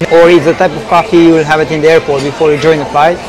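This man speaks in a monotone with flat intonation. Noticeable background noise runs under his voice. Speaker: coffee reviewer. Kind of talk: casual vlog review. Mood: unimpressed, candid. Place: cafe.

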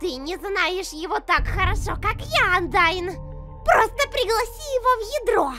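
A put-on character voice with a bright, sharp tone, lively intonation and moderate pace, faint music in the background. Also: woman, extremely high pitch for a woman.

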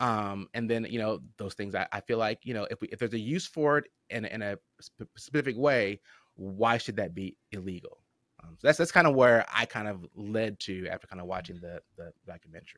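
Against a quiet background, a man with an unremarkable speaking voice talks at a fairly quick pace in a fairly low pitch, with ordinary pitch variation, big swings in loudness, and a dry sound with no echo. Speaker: podcast host. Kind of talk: casual chat. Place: home room. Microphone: studio mic.

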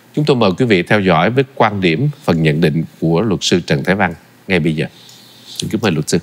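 A man's very deep, low voice at a fairly quick pace with lively intonation. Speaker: TV show host. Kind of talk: formal TV interview. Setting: studio.

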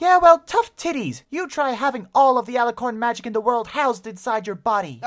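A female-sounding, put-on character voice rattles along at a fairly quick pace with hardly any pauses, pitched high for a woman. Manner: whiny, panicky.

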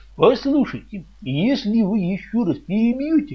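Putting on a character voice, a man speaks at a fairly slow pace with a high pitch, big pitch swings and a slightly husky edge.

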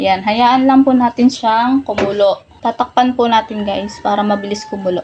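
Over noticeable background noise, a woman talks at a moderate pace with a fairly high pitch, fairly even intonation and hardly any pauses. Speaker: cooking vlogger. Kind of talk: cooking tutorial.

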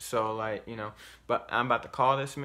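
A man speaks at a moderate pace in a bright, sharp tone. His intonation stays fairly even. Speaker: vlogger. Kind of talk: casual vlog chat. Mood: nervous, disgusted. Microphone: phone near.

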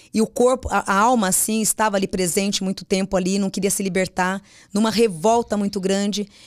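The background is quiet. A woman speaks with a monotone, flat intonation. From São Paulo state, Brazil (Mogi das Cruzes); São Paulo state, Brazil. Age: 40s. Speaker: psychic medium; podcast guest. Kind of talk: casual interview chat. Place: studio. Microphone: studio mic.

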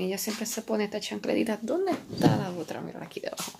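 A woman speaks at a very fast pace with a Puerto Rican accent. Light background noise is present. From Puerto Rico. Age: 20s. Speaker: physical therapy assistant and massage therapist. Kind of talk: casual vlog talk to camera. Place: home room. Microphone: phone near.

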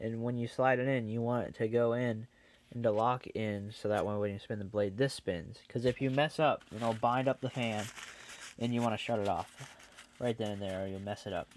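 Light background noise sits under a dry sound with no echo. A man speaks at a fairly quick pace with fairly even intonation. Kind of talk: tutorial. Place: workshop. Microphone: phone near.

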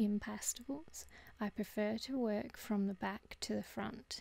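In a relaxed, dark and mellow tone, a woman speaks at a very slow pace. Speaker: pastel artist. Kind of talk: art tutorial narration.

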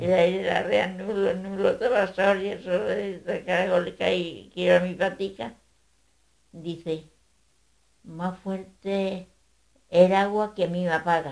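A woman at a medium pitch speaks very slowly, leaving long, frequent pauses and keeping her intonation fairly even. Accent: Andalusian. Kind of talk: oral folk tale storytelling. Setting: home recording.

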